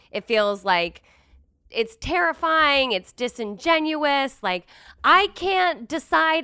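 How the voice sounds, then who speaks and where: In a very clean recording with a silent background, a raised, projected voice with a bright, sharp tone moves at a very slow pace through very wide pitch swings. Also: woman. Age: 30s. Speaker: comedian and bartender. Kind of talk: casual chat.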